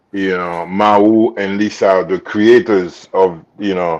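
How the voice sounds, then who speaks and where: A man speaks at a very slow pace with a strong Haitian accent. His pitch is fairly low for a man, and his intonation fairly even. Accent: thick Haitian. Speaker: actor and designer. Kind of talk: interview. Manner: halting with many fillers.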